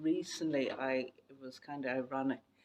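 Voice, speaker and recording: Someone with an Irish accent talks at a fairly quick pace. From West of Ireland. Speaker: dyslexia awareness podcaster. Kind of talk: interview.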